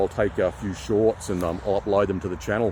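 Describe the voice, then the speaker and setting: With a strong Queensland accent, a man talks in a fairly low pitch with ordinary pitch variation. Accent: strong Australian (Brisbane, Queensland). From Australia, Brisbane, Queensland. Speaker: nature vlogger. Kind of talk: casual vlog narration. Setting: outdoors, forest walk. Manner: relaxed.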